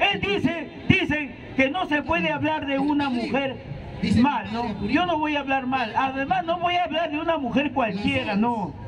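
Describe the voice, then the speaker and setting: Over noticeable background noise, a man speaks loudly and at a fairly slow pace, with an extremely high pitch, lively intonation and an energetic tone. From Peru. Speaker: street political speaker; speaker. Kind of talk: public political speech. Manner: energetic, forceful. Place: street. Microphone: handheld.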